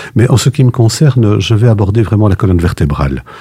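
Fairly quick pace with ordinary pitch variation. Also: man. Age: 60s. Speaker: retired judge, political candidate. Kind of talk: radio interview. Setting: studio. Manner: halting.

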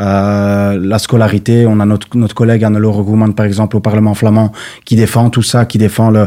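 Over a silent background in a very clean recording, a man talks at a moderate pace with a fairly low pitch, a dark, mellow tone and monotone, flat intonation. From Brussels (Laeken, Molenbeek). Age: 20s. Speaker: political candidate. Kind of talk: radio interview. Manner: halting, hesitant.

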